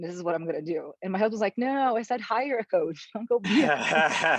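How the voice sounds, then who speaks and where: A woman speaks with a Portuguese accent and ordinary pitch variation in a dry, close sound with no echo. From Brazil. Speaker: life coach, former surgeon. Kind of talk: podcast interview.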